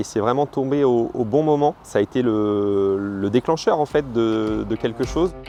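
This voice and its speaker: A man's voice with a dark, mellow tone. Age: 40s. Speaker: journalist giving a customer testimonial. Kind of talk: testimony. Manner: hesitant, many fillers and repeated words.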